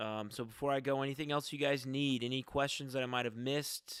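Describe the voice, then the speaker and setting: A man speaks quietly. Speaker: musician and comedian. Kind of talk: casual livestream chat. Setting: home basement livestream. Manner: halting.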